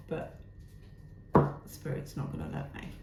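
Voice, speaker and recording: A woman talks at a fairly slow pace, with audible echo in the room. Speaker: tarot reader. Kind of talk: tarot reading.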